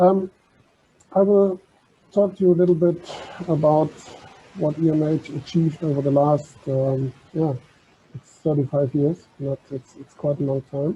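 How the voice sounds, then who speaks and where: A speaker with a German accent talks in fairly even intonation, broken by long, frequent pauses. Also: man, fairly high pitch for a man, moderate pace. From Germany. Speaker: maritime heritage organisation officer. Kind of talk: conference talk.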